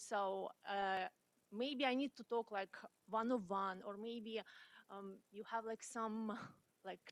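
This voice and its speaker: Very slowly and with long, frequent pauses, a woman speaks in a fairly high pitch with fairly even intonation, in a dry, close sound with no echo. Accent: non-native. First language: not English. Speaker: community college student. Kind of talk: audience question at career panel. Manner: halting, many fillers.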